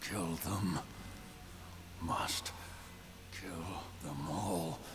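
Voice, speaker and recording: Over loud background noise, a man uses a put-on character voice with a very deep, low pitch. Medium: game stream. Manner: terse, fragmentary.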